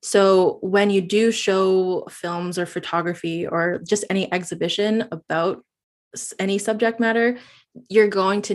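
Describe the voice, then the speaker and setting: Against a quiet background, a woman with a Canadian accent and medium pitch uses an ordinary speaking voice at a moderate pace with fairly even intonation. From Northwest Territories, Canada. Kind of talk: interview.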